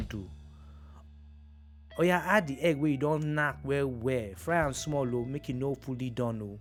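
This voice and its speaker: With music in the background, a man talks using lively intonation. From Nigeria. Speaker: actor and presenter. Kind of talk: cooking tutorial to camera. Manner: playful, humorous.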